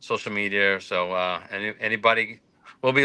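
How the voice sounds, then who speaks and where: With a Boston accent, a man talks at a fairly quick pace in a fairly low voice with a bright, sharp tone. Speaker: toy soldier shop owner. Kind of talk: casual chat. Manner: casual, hesitant with fillers.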